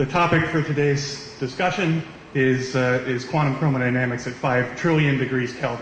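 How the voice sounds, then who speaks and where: A man speaks at a moderate pace with fairly even intonation and a fairly high pitch. The room echo is audible, and background noise is noticeable. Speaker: physics professor. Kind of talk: lecture. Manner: loud.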